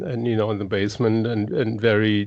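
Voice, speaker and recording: A man with a German accent, medium pitch and ordinary pitch variation. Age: 60s. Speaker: guitarist. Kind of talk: casual chat. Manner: halting.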